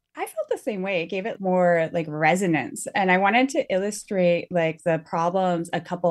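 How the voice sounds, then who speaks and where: The speaker has a normal speaking voice, and the pitch varies in an ordinary way. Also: woman, quiet background. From Northwest Territories, Canada. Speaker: author. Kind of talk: interview.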